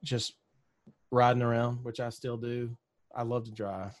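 With a Southern US accent, a man at a medium pitch speaks at a fairly slow pace. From Mississippi, US South. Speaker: country singer-songwriter. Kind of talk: casual interview chat.

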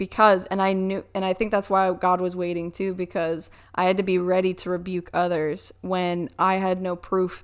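Speaking in a monotone, flat intonation at medium pitch, a woman moves at a fairly quick pace with hardly any pauses. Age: 20s. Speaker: faith testimony guest. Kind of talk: testimony.

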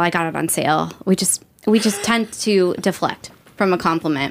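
A plain, everyday voice from a woman at medium pitch and moderate pace, on a very clean recording with a silent background. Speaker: guest, boudoir photography educator. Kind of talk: casual interview conversation.

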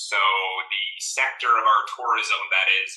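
A man is speaking. He has an American accent. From Virginia mountains, US. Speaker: ornithologist, bird atlas coordinator. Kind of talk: interview conversation.

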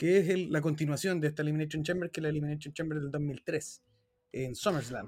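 Very fast pace, fairly even intonation and a somewhat breathy sound. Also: man, fairly high pitch for a man. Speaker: wrestling podcast host. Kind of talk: casual chat.

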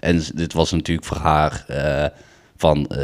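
A man's very deep, low-pitched voice. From Den Bosch, Netherlands. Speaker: former show jumper. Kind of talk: casual chat. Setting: at the kitchen table.

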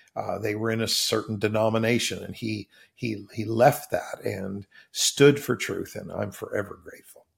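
Somewhat breathy, a man at medium pitch talks at a moderate pace with fairly even intonation and big swings in loudness. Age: 60s. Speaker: pastor. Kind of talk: interview conversation.

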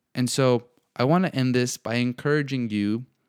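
An unremarkable speaking voice with ordinary pitch variation comes through a very clean recording, dry and close with no echo and a silent background. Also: man. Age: 20s. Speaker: faith and self-growth podcast host. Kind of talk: solo podcast monologue.

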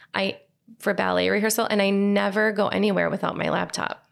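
On a very clean recording with a silent background, a woman is speaking. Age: 40s. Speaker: elementary school teacher and graduate alumna. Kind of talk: interview testimony. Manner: halting, with many fillers.

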